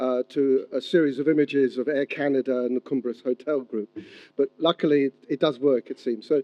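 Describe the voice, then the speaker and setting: A plain, everyday voice, a man speaks at a fairly high pitch with fairly even intonation. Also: fairly quick pace. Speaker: historian giving a public talk. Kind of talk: lecture. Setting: stage with audience, hotel venue, simultaneous translation.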